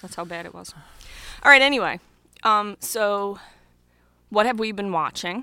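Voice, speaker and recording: Recorded very cleanly against a silent background, a woman with a medium-pitched voice and a bright, sharp tone talks at a moderate pace with ordinary pitch variation, long and frequent pauses, and big swings in loudness. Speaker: podcast co-host. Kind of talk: casual chat. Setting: home basement studio.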